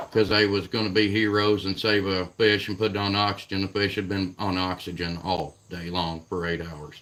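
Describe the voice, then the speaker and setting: In a southern Indiana accent, a man talks at a moderate pace with a very deep, low pitch, monotone, flat intonation and hardly any pauses. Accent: regional southern Indiana. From Southern Indiana, near Kentucky border. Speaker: catfishing livestreamer. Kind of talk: casual livestream chat. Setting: live stream. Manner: halting, repeats words.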